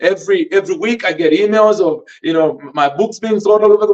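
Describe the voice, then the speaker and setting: With a Malawian accent, a man speaks high-pitched and fairly quickly, his intonation lively. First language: Tumbuka. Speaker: podcast host and author. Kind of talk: motivational teaching. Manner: halting, many fillers.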